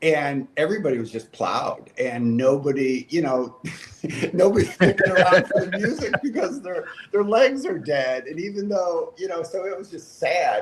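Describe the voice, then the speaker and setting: Over noticeable background noise, the voice swings very widely in pitch. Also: man. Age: 60s. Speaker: gravel race founder. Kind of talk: casual chat.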